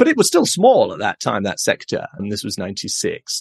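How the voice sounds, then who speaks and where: Recorded dry and close with no echo, a man speaks at a fairly quick pace. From England. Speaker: agency founder. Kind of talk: casual interview.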